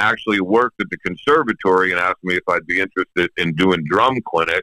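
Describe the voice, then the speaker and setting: Delivered at a fairly quick pace with ordinary pitch variation, this is a plain, everyday voice with an American accent. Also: man. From Pennsylvania. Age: 60s. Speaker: professional drummer. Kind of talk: interview. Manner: casual.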